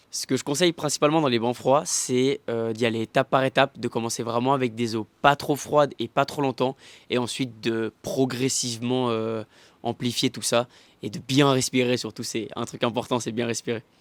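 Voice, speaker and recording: A man with a plain, everyday voice speaks at a medium pitch and a moderate pace with fairly even intonation, on a very clean recording with a silent background and a dry, close sound with no echo. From Canton of Vaud, Switzerland. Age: 20s. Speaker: cold-water swimmer. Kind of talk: interview.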